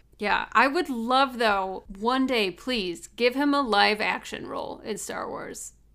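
In an American accent, a woman speaks fairly slowly at a fairly high pitch with ordinary pitch variation. Her tone is bright and sharp, and the recording is very clean with a silent background. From US Midwest. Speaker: podcast co-host. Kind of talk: casual chat.

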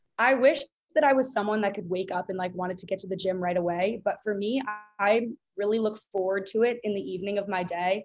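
A woman with an American accent talks at a very fast pace in a medium-pitched voice. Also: ordinary pitch variation. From US Northeast (Boston). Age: 20s. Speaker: fitness influencer and student. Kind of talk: casual interview.

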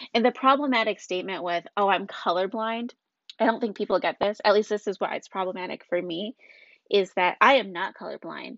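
In an ordinary speaking voice, a woman talks at a fairly quick pace with medium pitch and ordinary pitch variation. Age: 20s. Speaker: podcast host, mother. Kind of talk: solo monologue podcast. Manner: casual, conversational.

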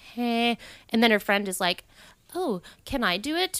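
A woman with a fairly high pitch talks at a moderate pace. The very clean recording has a silent background and a dry, close sound with no echo. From Maine. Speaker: podcast guest. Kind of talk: casual chat.

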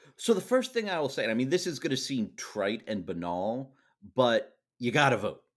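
A man with vocal fry speaks at a moderate pace and medium pitch, his voice making very wide pitch swings. The recording is very clean with a silent background. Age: 40s. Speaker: journalist and Supreme Court expert. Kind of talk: casual interview. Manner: halting, frequent repetitions.

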